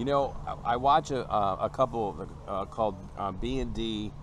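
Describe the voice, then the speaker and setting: Noticeable background noise is present, while the sound itself is dry with no echo. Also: man. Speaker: RV travel vlogger, interviewer. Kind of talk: interview questions. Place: garden.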